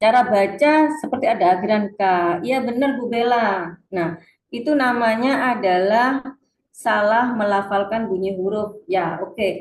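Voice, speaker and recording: A strong Surabaya accent comes through with audible room echo. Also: woman, fairly high pitch for a woman, ordinary pitch variation, fairly slow pace. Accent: thick Surabaya Javanese (medok). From Indonesia, Surabaya (East Java). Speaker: reading teacher / webinar presenter. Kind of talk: webinar lecture. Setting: online webinar.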